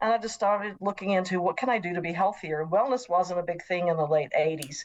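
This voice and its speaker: Very fast and in a Southern US accent, a woman speaks at a medium pitch with ordinary pitch variation. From US South, Nashville, Tennessee. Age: 60s. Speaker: professor. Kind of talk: interview.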